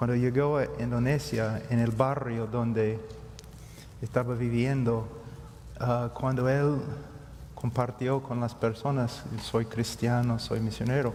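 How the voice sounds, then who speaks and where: Speaking very slowly with long, frequent pauses, a man keeps a medium pitch and a monotone, flat intonation. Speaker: preacher. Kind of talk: panel discussion.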